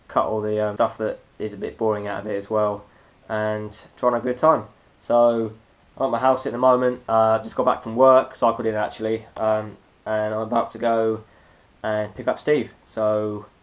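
A man's flat, monotone delivery at a moderate pace. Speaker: vlogger. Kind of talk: casual vlog chat. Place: home room. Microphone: phone near.

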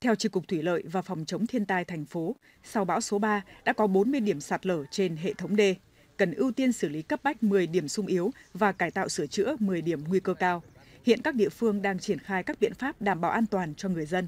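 A woman at medium pitch with lively intonation, a moderate pace and a dry, close sound with no echo. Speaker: news reporter. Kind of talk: news reading.

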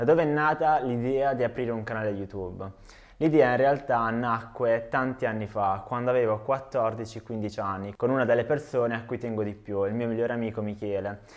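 Against a quiet background, a man speaks at a moderate pace with medium pitch and fairly even intonation. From Apulia, southern Italy (Trani, province of Bari); Apulia, Italy. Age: 20s. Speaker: YouTuber and farmer; YouTuber. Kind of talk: video self-introduction. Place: home room.

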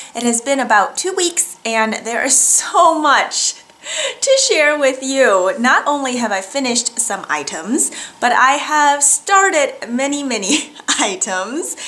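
A raised, projected voice with a warm tone and lively intonation moves at a fairly slow pace in an American accent. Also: woman, high pitch for a woman. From US Midwest. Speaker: knitting and sewing vlogger. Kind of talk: casual vlog monologue. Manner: warm and chatty. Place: home room.

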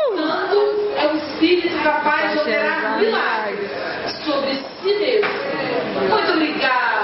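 With audible room echo and loud background noise, a woman speaks at a fairly slow pace, leaving long, frequent pauses. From Espírito Santo, Brazil. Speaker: poet. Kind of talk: poetry reading. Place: cafe. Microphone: camera far.

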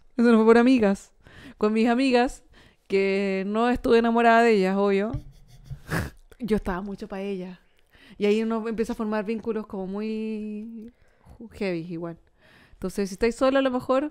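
A woman with a Chilean accent speaks at a moderate pace in a fairly high pitch, her intonation fairly even. Her loudness swings widely, long pauses come often, and the background is quiet. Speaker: comedy podcast co-host. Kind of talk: casual chat. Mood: amused storytelling. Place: studio. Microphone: studio mic.

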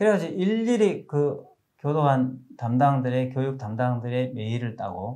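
A man's dark, mellow tone with lively intonation against a quiet background. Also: fairly slow pace. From South Korea. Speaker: preacher. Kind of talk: sermon. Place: studio. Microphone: lapel.

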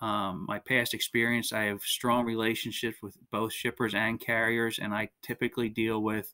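The background stays quiet. A man's tone is bright and sharp. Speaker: remote podcast guest. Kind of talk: interview answer. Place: home room.

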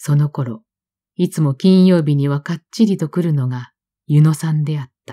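A woman speaks with a very deep, low pitch and ordinary pitch variation, her tone calm, gentle, dark and mellow. Her loudness swings widely, and the sound is dry and close with no echo. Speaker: audiobook narrator. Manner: calm, slow, wistful and melancholic, with gentle restrained emotion.

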